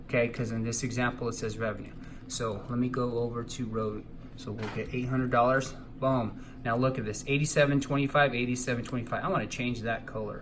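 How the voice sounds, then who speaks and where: A man of medium pitch talks at a very fast pace in a monotone, flat intonation. Audible room echo surrounds his voice. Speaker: accounting teacher. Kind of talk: tutorial.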